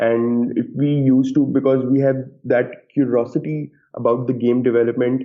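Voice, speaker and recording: At a moderate pace, a man with a medium pitch speaks in a flat, monotone way. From Pakistan. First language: not English. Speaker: game developer. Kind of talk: interview. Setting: podcast. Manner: halting.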